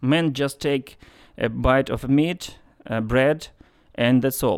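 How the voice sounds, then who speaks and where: On a very clean recording with a silent background, a man with a Ukrainian accent speaks fairly slowly with ordinary pitch variation. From Ukraine (Lutsk, western Ukraine). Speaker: agriculture specialist. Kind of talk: interview testimony. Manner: halting, frequent hesitations.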